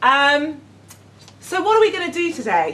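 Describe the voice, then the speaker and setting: Noticeable background noise sits behind a woman whose pitch swings very widely. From London, England. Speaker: educator running a gap year programme. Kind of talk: workshop presentation. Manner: hesitant, many fillers.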